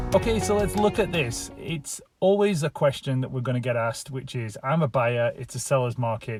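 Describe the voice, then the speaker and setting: With music playing in the background, a man with a northern English accent speaks at a medium pitch, his voice swinging very widely up and down. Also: moderate pace. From England, Lancashire. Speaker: real estate agent. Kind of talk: casual talk to camera.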